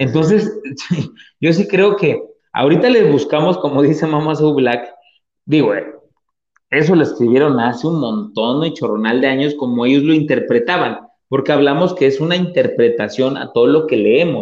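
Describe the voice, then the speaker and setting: A man's fairly high, lively voice at a moderate pace, in a central Mexican accent, with audible room echo. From Mexico, Puebla (Atlixco). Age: 30s. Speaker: podcast host. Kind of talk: casual chat. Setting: live stream with remote co-hosts.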